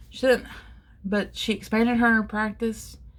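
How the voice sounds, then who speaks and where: This woman's voice sits at a medium pitch. There is some breathiness to it. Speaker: covid survivor telling personal story. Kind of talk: personal testimony vlog. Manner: rambling, conversational with fillers.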